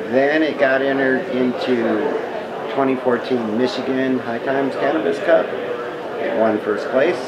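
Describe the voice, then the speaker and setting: A man speaks at a very slow pace. Loud background noise surrounds him. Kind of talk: interview answer. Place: tent.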